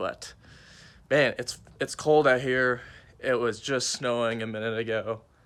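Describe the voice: In a put-on character voice, a raspy man speaks at a moderate pace with long, frequent pauses. His pitch is medium and his intonation monotone and flat.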